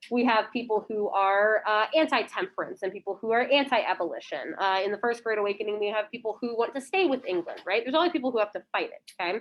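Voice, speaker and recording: Speaking at a very fast pace with hardly any pauses, a woman uses lively intonation at a fairly high pitch. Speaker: high school history teacher. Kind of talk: lecture. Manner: loud.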